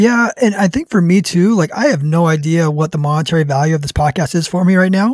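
The man's voice is high-pitched and dry, with no echo. He races along at a very fast pace with hardly any pauses. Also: ordinary pitch variation, quiet background. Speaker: hunting podcast host. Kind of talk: casual chat. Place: studio. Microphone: studio mic.

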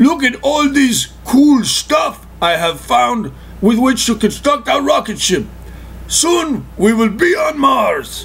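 A man's put-on character voice at a fairly slow pace over clear background noise. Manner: excited, eager.

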